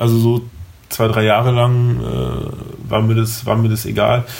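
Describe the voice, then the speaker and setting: A man at a medium pitch and a fairly slow pace, with fairly even intonation over noticeable background noise. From Germany, Berlin. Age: 20s. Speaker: recovering addict. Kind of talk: interview.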